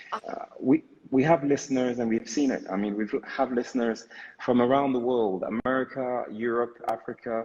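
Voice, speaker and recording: Using a normal speaking voice, a man of medium pitch talks at a moderate pace with fairly even intonation. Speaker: live show host. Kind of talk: casual live-stream hosting.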